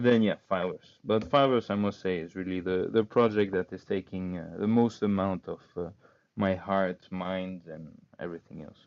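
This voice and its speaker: A man's very deep, low voice with a non-native accent, a moderate pace, fairly even intonation and big swings in loudness. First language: not English. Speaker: crypto startup cofounder. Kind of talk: interview conversation. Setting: online call. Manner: hesitant, many fillers.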